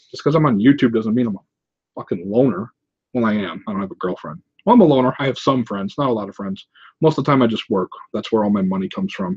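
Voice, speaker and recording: Here a man talks at a medium pitch. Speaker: YouTuber, 3D printing and prop maker. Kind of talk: livestream Q&A. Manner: casual, profane; fast.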